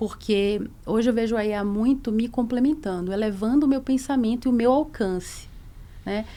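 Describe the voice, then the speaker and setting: A woman talks at a moderate pace with a fairly high pitch, a dark, mellow tone, and ordinary pitch variation. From Bahia, Brazil (Salvador). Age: 40s. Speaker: corporate lawyer, head of legal and compliance. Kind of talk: podcast interview. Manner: hesitant, many fillers.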